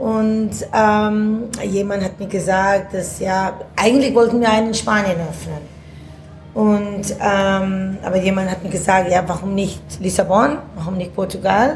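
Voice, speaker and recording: A woman at a medium pitch with a non-native accent, fairly even intonation and a fairly slow pace, plus audible room echo and noticeable background noise. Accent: foreign accent in German. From India. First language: not German (speaking German). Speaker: restaurant owner. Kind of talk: casual interview. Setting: café at food festival.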